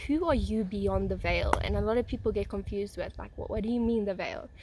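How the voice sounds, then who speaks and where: Over noticeable background noise, a woman speaks at a fairly quick pace. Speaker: spiritual content creator. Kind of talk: casual monologue. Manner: fast.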